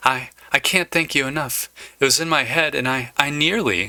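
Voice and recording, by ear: A man does a put-on character voice, shaky and fairly high in pitch. His intonation is lively and his pace moderate.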